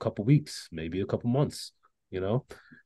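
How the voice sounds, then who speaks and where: Against a quiet background, a man's dark, mellow voice comes through with a dry, close sound and no echo. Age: 30s. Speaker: trader. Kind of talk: casual chat. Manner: halting.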